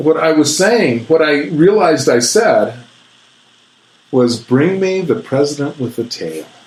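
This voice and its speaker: Over noticeable background noise, a man with a fairly high pitch speaks at a fairly slow pace with lively intonation. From New Mexico, Albuquerque. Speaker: author and stand-up comedian. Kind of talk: casual chat. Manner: animated.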